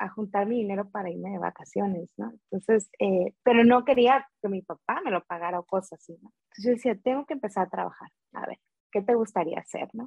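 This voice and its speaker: At a fairly quick pace, a woman speaks in a normal speaking voice with ordinary pitch variation. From Veracruz, Mexico. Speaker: food business owner. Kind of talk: interview.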